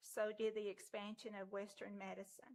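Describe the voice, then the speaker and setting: Her voice sits at medium pitch with a monotone, flat intonation. The woman talks at a moderate pace. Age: 60s. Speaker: member of the public speaking at meeting. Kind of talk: public comment, prepared statement. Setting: city council meeting. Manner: formal.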